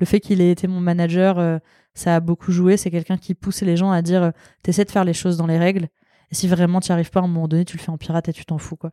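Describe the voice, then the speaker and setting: A woman's fairly low, monotone voice at a very fast pace with flat intonation, in a dry, close sound with no echo. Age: 30s. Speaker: product designer. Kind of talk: interview conversation. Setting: recorded at guest's workplace.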